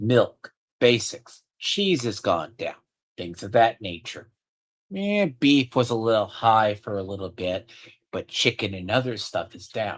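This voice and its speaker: With a normal speaking voice at medium pitch, a man talks fairly slowly with lively intonation and big swings in loudness in a very clean recording with a silent background. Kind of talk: casual conversation.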